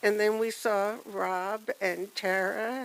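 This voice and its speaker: Soft-spoken, a woman talks at a medium pitch. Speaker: family friend giving a memorial tribute. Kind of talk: memorial tribute.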